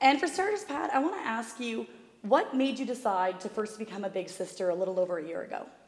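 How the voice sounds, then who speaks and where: Over noticeable background noise, a woman talks at a very fast pace with lively intonation and a fairly high pitch. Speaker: charity representative. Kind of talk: interview.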